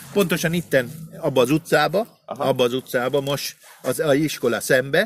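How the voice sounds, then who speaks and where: A man's voice with music in the background. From Argentina, Buenos Aires. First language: Spanish (speaking Hungarian). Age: 60s. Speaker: chef. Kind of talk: casual chat. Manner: halting.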